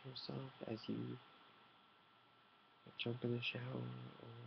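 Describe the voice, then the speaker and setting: A man whispering, soft-spoken and relaxed, at a very slow pace. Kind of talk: ASMR soft-spoken talk to camera, tea meditation. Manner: soft-spoken, whispered, relaxed.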